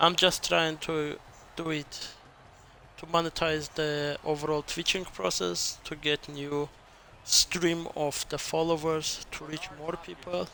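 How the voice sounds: A man speaks slowly at a fairly high pitch in a bright, sharp tone. Vocal fry runs through his voice, and his pitch barely moves.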